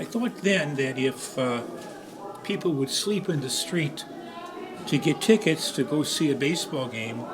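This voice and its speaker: A man's fairly high voice at a fairly slow pace, amid noticeable background noise. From Chicago, US Midwest. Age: 80s+. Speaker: program member sharing memories. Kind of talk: personal reminiscence speech. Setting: birthday gathering at a center. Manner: halting, many filler uhs.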